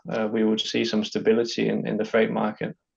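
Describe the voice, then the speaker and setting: This is a man speaking with a slight Danish accent. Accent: good English, lighter Danish. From Denmark. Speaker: freight company business development manager. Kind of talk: online interview. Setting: online video interview. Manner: hesitant, frequent fillers and repeats.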